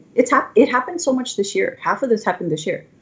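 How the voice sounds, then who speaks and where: There is vocal fry in this woman's voice. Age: 40s. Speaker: tech evangelist. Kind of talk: conference talk. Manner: animated.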